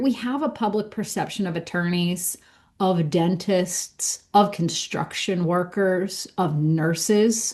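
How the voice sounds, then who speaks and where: Against a quiet background, a woman with an American accent speaks in a somewhat breathy voice. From Pittsburgh, US. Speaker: accountant and business school director. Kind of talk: podcast interview.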